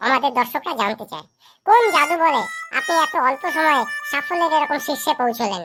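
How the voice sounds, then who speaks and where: A high-pitched, cartoonish character voice at a moderate pace. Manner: deferential, eager.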